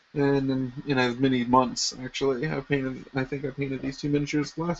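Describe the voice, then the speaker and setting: A man mumbles at a moderate pace in a fairly high pitch. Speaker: miniature painting streamer. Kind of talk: live painting tutorial stream. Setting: live stream. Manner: mumbling; casual, rambling with fillers.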